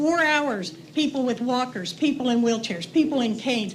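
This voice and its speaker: A woman with an American accent speaks at a high pitch with ordinary pitch variation. Audible room echo surrounds her voice. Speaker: resident speaking at public comment. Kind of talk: public comment. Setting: city council meeting. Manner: halting.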